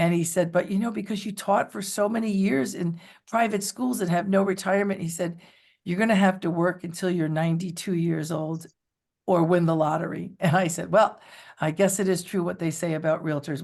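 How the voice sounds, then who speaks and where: This woman has a fairly low voice and a New York accent. Her pitch varies in an ordinary way against a quiet background. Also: fairly quick pace. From New York City area. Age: 60s. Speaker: real estate agent. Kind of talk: interview.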